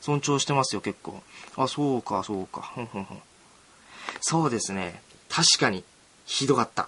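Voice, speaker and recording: Lively intonation broken by long, frequent pauses, with noticeable background noise. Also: man, medium pitch for a man, moderate pace, big swings in loudness. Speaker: student radio host. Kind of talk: casual solo radio talk.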